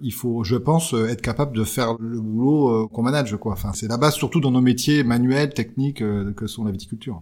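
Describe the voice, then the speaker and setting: In a very clean recording with a silent background, a man with a plain, everyday voice talks fairly quickly at medium pitch, with ordinary pitch variation and hardly any pauses. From Champagne, France. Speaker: winegrower. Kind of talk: interview.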